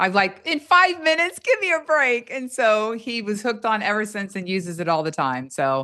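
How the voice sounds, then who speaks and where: A woman speaks at a fairly quick pace with an animated tone and lively intonation. The background is quiet. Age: 60s. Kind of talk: testimony.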